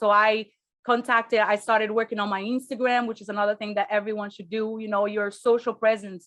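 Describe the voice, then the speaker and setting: A woman with a non-native accent speaks at a fairly high pitch with monotone, flat intonation. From Brazil, raised partly in Spain. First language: Portuguese. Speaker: real estate investor. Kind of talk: interview.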